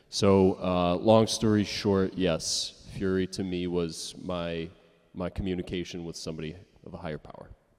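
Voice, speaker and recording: Very deep and low, a man's voice holds a flat, monotone intonation at a moderate pace. His loudness swings widely in a very clean recording with a silent background. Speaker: actor on a fan convention panel. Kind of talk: panel Q&A.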